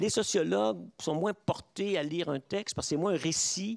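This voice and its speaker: Very wide swings mark the man's pitch. His recording is dry and close, with no echo. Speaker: professor. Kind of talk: lecture. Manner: halting.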